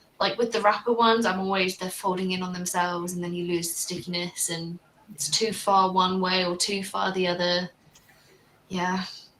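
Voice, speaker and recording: Over noticeable background noise, a woman with a British accent speaks at a moderate pace and medium pitch in a monotone, flat intonation. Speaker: livestream panel host. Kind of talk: casual panel discussion. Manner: conversational, uses fillers.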